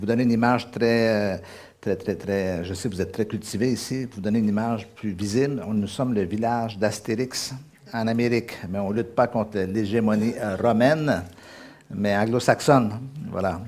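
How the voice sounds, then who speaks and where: At a moderate pace, a man with a Quebec accent talks at a fairly low pitch with fairly even intonation and audible room echo. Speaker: guest preacher. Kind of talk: sermon. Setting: church service. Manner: hesitant with fillers.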